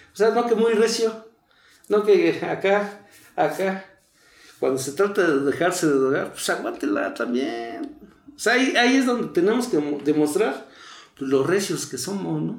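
A man's high-pitched voice with very wide pitch swings at a fairly slow pace, plus audible room echo. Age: 40s. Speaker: recovering addict. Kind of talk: testimony.

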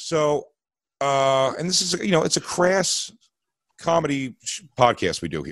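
An ordinary speaking voice from a man with an American accent, fairly high in pitch, fairly slow, with lively intonation. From Philadelphia. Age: 40s. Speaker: comedian. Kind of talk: storytelling.

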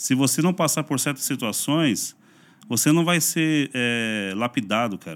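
In a plain, everyday voice, a man talks at a fairly slow pace with lively intonation, recorded very cleanly against a silent background. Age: 40s. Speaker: pastor and YouTuber. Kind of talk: casual interview chat.

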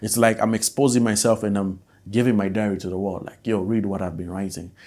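A man speaks at a moderate pace in a Malawian accent, his pitch fairly low and his tone dark and mellow. His intonation stays fairly even, and the recording is very clean with a silent background. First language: Nyanja. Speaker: musician and podcast host. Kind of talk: casual solo podcast monologue.

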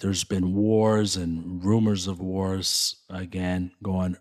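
A man with an American accent talks at a very slow pace in a very deep, low pitch. His intonation is monotone and flat, and the recording is very clean with a silent background. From Chicago, West Side. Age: 40s. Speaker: church leader and community networker. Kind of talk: casual chat.

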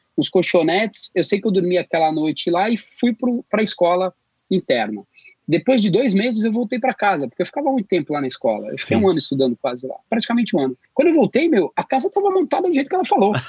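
Very fast and high-pitched, a man's voice swings very widely in pitch, with a dry, close sound and no echo. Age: 50s. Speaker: graphic production professional. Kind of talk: casual chat.

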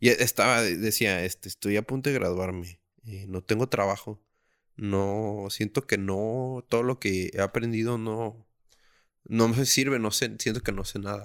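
In a normal speaking voice, a man talks at a fairly slow pace with fairly low pitch and fairly even intonation, captured in a very clean recording with a silent background. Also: dry, close sound with no echo. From Mexico, Tijuana. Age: 20s. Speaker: podcast host. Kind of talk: casual chat. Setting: home.

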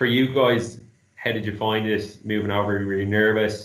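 A man with an Irish accent speaks at a fairly low pitch, with audible echo in the room. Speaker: graduate market executive. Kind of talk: casual chat.

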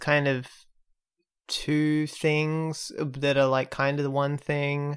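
At a very slow pace, someone speaks in an Australian accent on a very clean recording with a silent background. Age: 20s. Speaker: podcast host. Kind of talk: casual chat.

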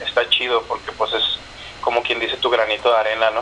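Medium pitch from a man, with noticeable background noise behind it. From northern Mexico (Chihuahua). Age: 30s. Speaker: musician. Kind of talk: casual interview. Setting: phone call.

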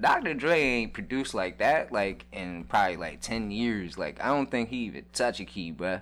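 Vocal fry colors speech with lively intonation. The pace is moderate, with hardly any pauses. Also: man, medium pitch for a man. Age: 30s. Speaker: podcast guest and small business owner. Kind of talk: casual chat. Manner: laid-back, filler-heavy slang speech.

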